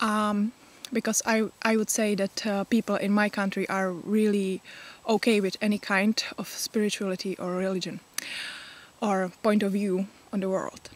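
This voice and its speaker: A woman's monotone, flat voice with a Czech accent, in a dry, close sound with no echo. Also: medium pitch for a woman, moderate pace. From Czech Republic. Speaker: pagan vlogger. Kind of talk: casual vlog talk. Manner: halting, many fillers.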